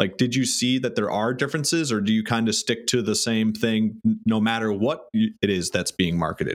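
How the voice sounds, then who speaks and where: In an ordinary speaking voice, a man of medium pitch talks at a moderate pace with hardly any pauses, very even loudness and ordinary pitch variation, on a very clean recording with a silent background. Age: 30s. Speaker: podcast host and music marketer. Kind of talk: casual interview chat. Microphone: new microphone.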